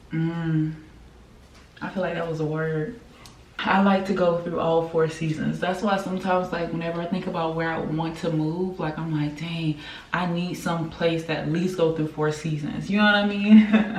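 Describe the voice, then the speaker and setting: Speaking at a fairly low pitch with fairly even intonation, a woman is heard amid audible room echo and noticeable background noise. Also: moderate pace. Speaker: vlogger. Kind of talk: casual vlog talk to camera. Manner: casual, conversational.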